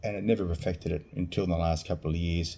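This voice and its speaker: Very deep and low, a man's voice carries a dark, mellow tone and ordinary pitch variation, with an Australian accent. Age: 50s. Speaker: vlogger sharing surgery experience. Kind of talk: personal testimony vlog. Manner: halting.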